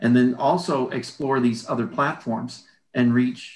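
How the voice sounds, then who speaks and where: The voice is an unremarkable speaking voice. Pitch moves up and down in an ordinary way. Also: man. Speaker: artist and art teacher. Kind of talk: casual interview.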